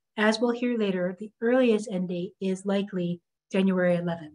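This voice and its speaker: Somewhat breathy woman's voice at a fairly slow pace, ordinary pitch variation, quiet background. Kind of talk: prepared remarks to stakeholders. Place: office. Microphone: video call.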